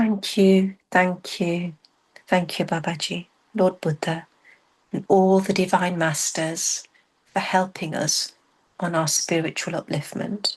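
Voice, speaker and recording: A soft-spoken woman talks at a very slow pace, somewhat breathy, with long, frequent pauses. Her intonation is flat and monotone. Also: medium pitch for a woman. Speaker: meditation guide. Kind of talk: guided meditation.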